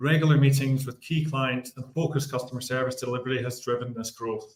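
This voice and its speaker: A Scottish man talks at a fairly quick pace with a fairly high pitch, in a Scottish accent. His voice is somewhat breathy, with monotone, flat intonation. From Scotland. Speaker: bank executive. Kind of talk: business report. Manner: formal, scripted.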